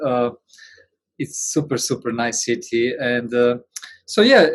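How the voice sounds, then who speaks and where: A plain, everyday voice from a man at a medium pitch, moving at a fairly slow pace. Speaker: interviewer.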